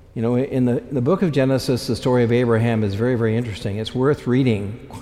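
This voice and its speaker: Amid noticeable background noise, a man speaks at a very fast pace with ordinary pitch variation. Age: 70s. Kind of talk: sermon. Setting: church.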